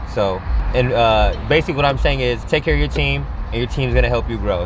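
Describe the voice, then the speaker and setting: Noticeable background noise sits under a dry sound that has no echo. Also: man. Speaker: guest. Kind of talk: interview answer. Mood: thankful, relaxed. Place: car. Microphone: camera far.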